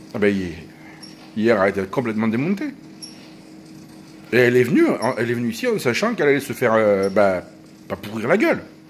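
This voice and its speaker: Through noticeable background noise, a man talks at a very fast pace broken by long, frequent pauses. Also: medium pitch for a man, ordinary pitch variation. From France, partly Corsican origin. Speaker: vlogger. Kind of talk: casual monologue vlog. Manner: animated.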